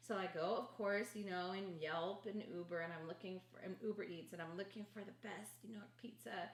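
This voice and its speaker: A woman speaks with an American accent at medium pitch and a moderate pace, with ordinary pitch variation. She leaves hardly any pauses, and noticeable background noise runs underneath. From Los Angeles, California. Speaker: podcast co-host. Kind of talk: casual chat.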